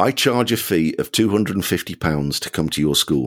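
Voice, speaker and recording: A man with a very deep, low pitch talks at a moderate pace and makes very wide pitch swings. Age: 60s. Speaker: children's author. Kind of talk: interview.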